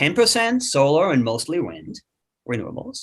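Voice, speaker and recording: A man speaks in an Austrian accent. His pace is moderate. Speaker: climate economist. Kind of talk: webinar discussion. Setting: webinar.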